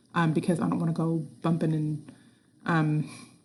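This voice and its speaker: A soft-spoken woman talks in a very deep, low voice that is somewhat breathy. Her tone is dark and mellow, with fairly even intonation. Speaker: school science teacher. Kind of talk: recorded announcement to students. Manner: soft-spoken, quiet; hesitant, many fillers.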